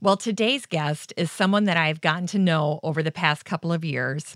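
A woman with an American accent has an ordinary speaking voice, fairly low in pitch with ordinary pitch variation, in a dry, close sound with no echo and a very clean recording with a silent background. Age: 40s. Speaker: gardening podcast host. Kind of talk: casual interview.

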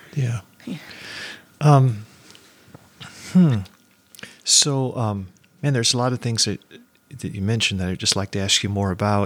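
Moderate pace, ordinary pitch variation, and long, frequent pauses. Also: man, medium pitch for a man. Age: 50s. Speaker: podcast host. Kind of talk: casual interview.

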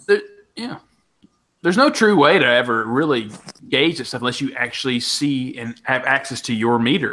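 A bright, sharp tone at a moderate pace, with ordinary pitch variation and long, frequent pauses. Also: man, medium pitch for a man. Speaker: podcast co-host. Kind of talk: casual chat. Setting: remote recording.

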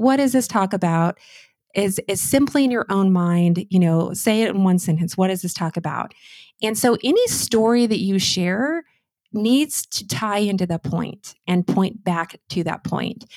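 In a dry, close sound with no echo and a very clean recording against a silent background, a woman with an ordinary speaking voice talks at a medium pitch and a fairly slow pace, with ordinary pitch variation. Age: 40s. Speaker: speech coach. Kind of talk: interview.

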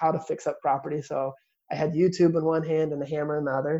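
A man's fairly high, monotone voice with flat intonation, at a fairly quick pace. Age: 20s. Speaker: real estate investor. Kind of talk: interview.

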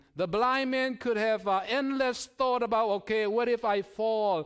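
With a non-native accent, a man speaks at a high pitch, and his pitch varies in an ordinary way. The recording is very clean and the background silent. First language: Chin language. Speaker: seminary student, guest preacher. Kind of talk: sermon. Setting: church pulpit. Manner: halting, many fillers.

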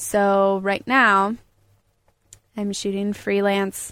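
In an American accent, a woman speaks at a medium pitch on a very clean recording with a silent background. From Colorado, US. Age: 20s. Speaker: photographer and climber. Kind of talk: casual interview. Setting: mobile recording studio.

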